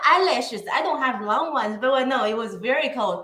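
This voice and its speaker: A woman speaks in a raised, projected voice. Her pitch is high, with ordinary pitch variation. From northeast China. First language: Chinese. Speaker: guest on a live show. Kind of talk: casual interview. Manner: halting.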